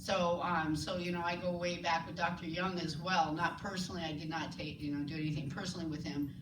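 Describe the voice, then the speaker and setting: A woman talks at a very fast pace with hardly any pauses, her fairly low voice monotone and flat, amid audible room echo and noticeable background noise. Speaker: scientist and clinic founder. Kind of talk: lecture. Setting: stage with audience. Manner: halting.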